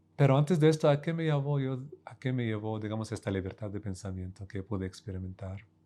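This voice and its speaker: Very fast speech with big swings in loudness, in an Arabic accent. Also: man, fairly low pitch for a man. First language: Arabic (speaking Spanish). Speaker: professor. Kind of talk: interview. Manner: hesitant, many fillers and repetitions.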